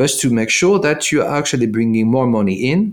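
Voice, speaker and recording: The speaker has a French accent. Their intonation is lively. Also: man. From France. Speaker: tech product executive. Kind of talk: interview.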